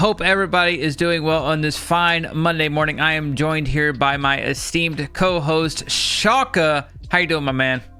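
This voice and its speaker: A man with an American accent talks in a fairly high voice at very even loudness, with hardly any pauses and music in the background. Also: ordinary pitch variation, moderate pace. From US South, Georgia. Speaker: gaming YouTuber. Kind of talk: casual chat. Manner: animated.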